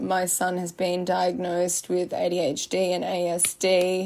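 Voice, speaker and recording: With an Australian accent, a woman at medium pitch speaks at a very slow pace on a very clean recording with a silent background. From Australia, Byron Bay, New South Wales. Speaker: influencer, podcast host. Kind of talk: casual monologue. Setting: sitting in her laundry room. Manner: unscripted, rambling with fillers.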